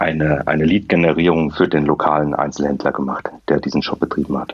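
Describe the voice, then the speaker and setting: Talking at a fairly quick pace, a man uses a very deep, low pitch and fairly even intonation. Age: 40s. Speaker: fintech founder. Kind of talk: interview. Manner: frequent filler sounds.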